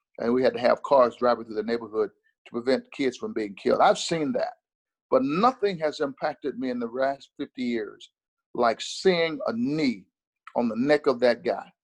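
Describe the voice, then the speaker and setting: An ordinary speaking voice goes at a moderate pace, with a dry, close sound and no echo. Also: man, fairly high pitch for a man, lively intonation. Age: 60s. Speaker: minister. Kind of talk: interview. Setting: video call.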